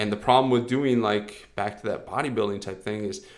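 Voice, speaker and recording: An ordinary speaking voice moves at a moderate pace. Its pitch varies in an ordinary way. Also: man. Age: 30s. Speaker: fitness coach podcast host. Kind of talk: solo podcast monologue. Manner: casual, filler-heavy.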